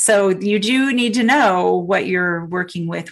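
Music can be heard behind the speaker. She is a woman with a medium pitch and ordinary pitch variation. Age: 50s. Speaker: sound healer and spiritual coach. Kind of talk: casual chat.

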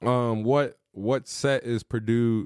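A man is speaking. The recording is very clean with a silent background, and the sound is dry and close with no echo. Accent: American. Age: 20s. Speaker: podcast host, former junior college football player. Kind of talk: casual chat. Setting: studio.

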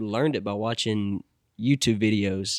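Recorded very clean against a silent background, a man speaks at a fairly low pitch with fairly even intonation in a dry, close sound with no echo. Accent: American. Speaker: musician. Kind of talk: casual chat.

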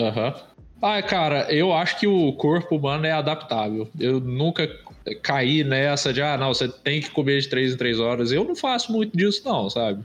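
The man has a normal speaking voice with a fairly high pitch. His intonation is lively. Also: moderate pace. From Brazil, interior of Minas Gerais. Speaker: illustrator. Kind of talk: casual chat.

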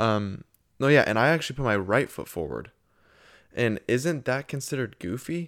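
An unremarkable speaking voice from a man, medium in pitch, lively in intonation and moderate in pace, on a very clean recording with a silent background. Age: 20s. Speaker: podcast co-host. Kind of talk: casual chat.

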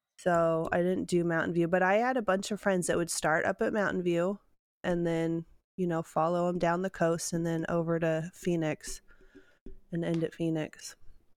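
A woman talks at a moderate pace with a fairly low pitch and fairly even intonation. The recording is very clean with a silent background. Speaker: special education teacher. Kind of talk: casual chat.

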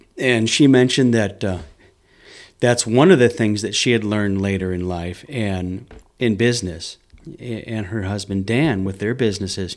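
A man with an unremarkable speaking voice, fairly low in pitch with ordinary pitch variation, at a moderate pace. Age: 50s. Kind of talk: casual interview chat. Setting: studio.

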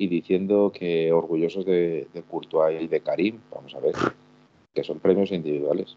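At a fairly slow pace, this man talks in a very deep, low pitch. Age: 40s. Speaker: football fan commentator. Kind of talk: casual chat. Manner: halting. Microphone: echo.

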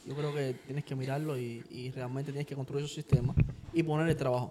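The man talks at a fairly quick pace and a fairly high pitch, with noticeable background noise behind him. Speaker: podcast co-host, salesman. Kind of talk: casual chat.

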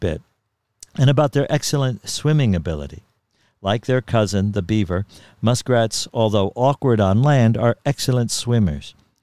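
On a very clean, dry and close recording with a silent background and no echo, a man with an American accent speaks at a moderate pace in a dark, mellow tone at medium pitch. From Ramapo River area, New York. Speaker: podcast host and storyteller. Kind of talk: reading aloud a written story.

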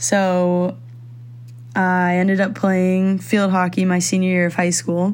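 In an American accent, someone talks at a moderate pace with monotone, flat intonation and audible room echo. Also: woman. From Philippines (Manila) and Virginia, US. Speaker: student athlete. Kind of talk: interview.

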